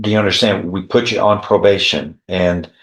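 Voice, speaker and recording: A man with a fairly low pitch speaks in a monotone, flat way, with audible room echo. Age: 70s. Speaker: judge. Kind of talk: court hearing. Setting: courtroom. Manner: formal.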